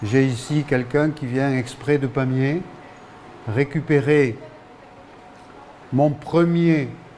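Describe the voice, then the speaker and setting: Through noticeable background noise, a man with a fairly high pitch and ordinary pitch variation speaks at a very slow pace. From France, Ariège. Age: 70s. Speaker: local author and poet. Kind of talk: interview. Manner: hesitant, many fillers.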